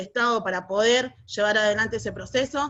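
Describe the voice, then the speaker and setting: In a Rioplatense accent, a woman talks at a fairly quick pace. Her fairly high-pitched voice stays monotone and flat. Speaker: social movement activist. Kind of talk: panel debate contribution. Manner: fast.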